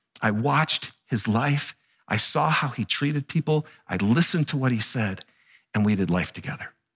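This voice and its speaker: A medium-pitched man speaks in a bright, sharp, animated tone with lively intonation at a moderate pace. Long, frequent pauses break up his speech, and the sound is dry and close with no echo. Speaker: pastor. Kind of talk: sermon.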